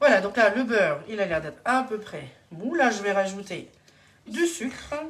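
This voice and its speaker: A woman of medium pitch speaks at a moderate pace, her pitch swinging very widely. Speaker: home cook and kitchenware consultant doing a live demo. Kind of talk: live cooking demonstration. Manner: hesitant, many fillers.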